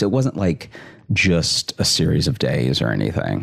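Speaking at a moderate pace in an American accent, the voice has very wide pitch swings and vocal fry. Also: man. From Louisiana, US South. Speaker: stand-up comic and late night writer. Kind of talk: casual interview.

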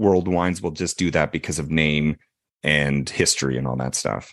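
A man with a Canadian accent speaks with vocal fry and ordinary pitch variation. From Canada, Toronto. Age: 40s. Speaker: actor. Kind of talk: casual chat.

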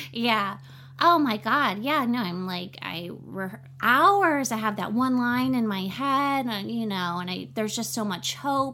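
A woman's fairly high voice, fairly slow, with very wide pitch swings and audible room echo. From New Orleans (Old Metairie). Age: 30s. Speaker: actor and writer. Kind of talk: casual interview chat.

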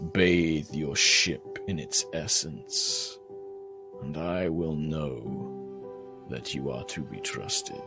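Over clear music in the background, a man uses a put-on character voice at an extremely low pitch with vocal fry, ordinary pitch variation and a very slow pace.

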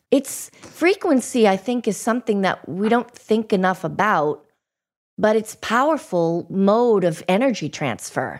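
Recorded very cleanly against a silent background, a woman speaks fairly slowly with an American accent. She has an unremarkable speaking voice, fairly high in pitch, with lively intonation. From Boston. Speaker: podcast host. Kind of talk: interview.

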